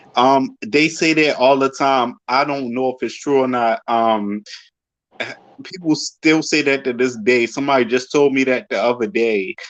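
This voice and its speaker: Speaking with a Baltimore accent, a man talks at a moderate pace and medium pitch with ordinary pitch variation. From Baltimore, Maryland. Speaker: fan guest. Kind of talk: casual chat.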